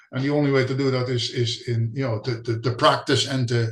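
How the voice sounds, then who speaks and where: A man speaks at a moderate pace in a fairly high pitch. His voice is somewhat breathy. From Netherlands. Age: 60s. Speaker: spiritual healing visitor. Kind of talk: casual interview. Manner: hesitant, repeats words.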